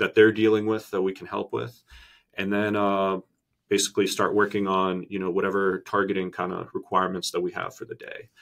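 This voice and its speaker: In a very clean recording with a silent background, a man speaks at a fairly quick pace with big swings in loudness. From Boston, US. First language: Russian. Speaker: Army veteran and MBA student. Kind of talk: interview. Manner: hesitant, many fillers.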